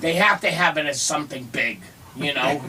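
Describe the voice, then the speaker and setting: The speaker is a man. His voice comes with noticeable background noise. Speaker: stand-up comedian. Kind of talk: radio interview answer. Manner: conversational, casual, hesitant.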